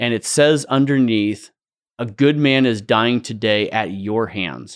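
Heard with a dry, close sound and no echo, a man with an American accent and a normal speaking voice talks at a fairly slow pace. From US West Coast. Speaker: company founder. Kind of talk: casual interview.

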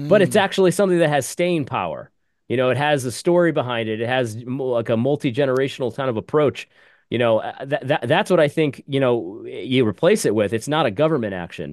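A man with a fairly high pitch and an unremarkable speaking voice talks at a fairly quick pace with lively intonation over a quiet background. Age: 40s. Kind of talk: panel discussion.

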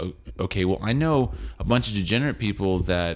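This man's voice is fairly low, and it is captured in a very clean recording with a silent background. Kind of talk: casual theological chat. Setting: home recording. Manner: loud.

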